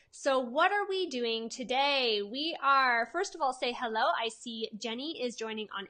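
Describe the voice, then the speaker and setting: In a Canadian accent, a woman projects a raised, energetic voice at a high pitch. Her tone is bright and sharp, and her intonation is lively. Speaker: holistic nutritionist and web branding coach. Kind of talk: live-stream training. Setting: live stream on Facebook and Instagram. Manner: casual, energetic.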